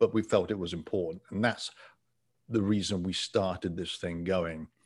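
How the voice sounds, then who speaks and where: This man has a fairly low voice and an English accent, talking at a moderate pace. The recording is very clean, with a silent background. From England. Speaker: travel author and podcaster. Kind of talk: interview.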